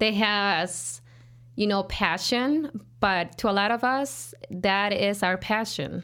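A woman with a Mexican accent, very slow pace, very even loudness and a bright, sharp tone. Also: medium pitch for a woman, lively intonation. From rural Jalisco, Mexico. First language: Spanish. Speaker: business owner, cleaning company CEO. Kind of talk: casual interview.

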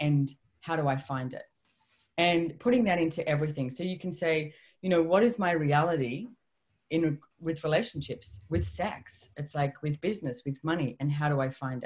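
A woman's very deep, low, somewhat breathy voice moves at a moderate pace with lively intonation. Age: 50s. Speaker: author and personal development trainer. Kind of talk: interview.

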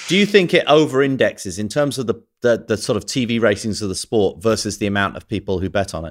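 On a very clean recording with a silent background, a man talks at a very fast pace with lively intonation and hardly any pauses. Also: medium pitch for a man. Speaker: TV producer and podcast co-host.

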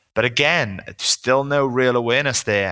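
A man with a Welsh accent and a bright, sharp tone, at a fairly quick pace with ordinary pitch variation. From Wales, small town. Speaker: personal trainer. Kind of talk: casual interview chat.

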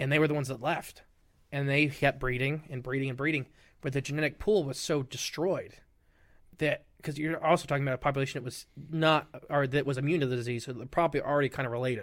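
A man with an American accent speaks very fast at a fairly high pitch, his intonation fairly even, on a very clean recording with a silent background. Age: 20s. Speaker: podcast guest, cryptid podcaster. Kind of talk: casual chat.

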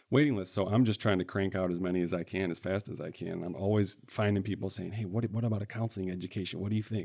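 A man's fairly low, dark, mellow voice in a Midwestern US accent, very fast with hardly any pauses and fairly even intonation. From central Michigan. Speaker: financial aid advisor. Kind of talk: interview. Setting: studio.

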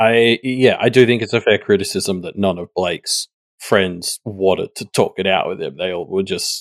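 In an Australian accent, a man speaks at a moderate pace, the sound dry and close with no echo. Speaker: podcast guest. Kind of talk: casual chat. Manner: halting, repeats words.

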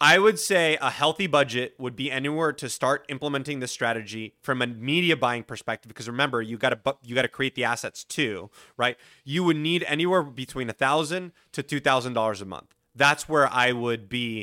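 A man speaks with a bright, sharp tone at a medium pitch. His pace is moderate and his pitch varies in an ordinary way. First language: Spanish. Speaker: podcast marketing agency founder. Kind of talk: casual interview.

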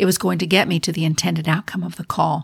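Very fast and fairly low, a woman's voice with vocal fry comes through a very clean recording with a silent background. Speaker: leadership podcast host. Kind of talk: solo podcast monologue on leadership.

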